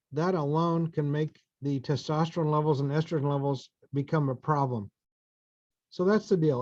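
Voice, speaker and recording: Speaking fairly quickly in an American accent, a man has an ordinary speaking voice at a fairly high pitch. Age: 60s. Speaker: fertility doctor. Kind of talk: lecture.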